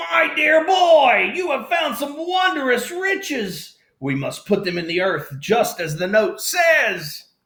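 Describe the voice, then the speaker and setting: Putting on a character voice, a man speaks at an extremely high pitch and a fairly slow pace, with very wide pitch swings and audible echo. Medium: read story. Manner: courtly, polite.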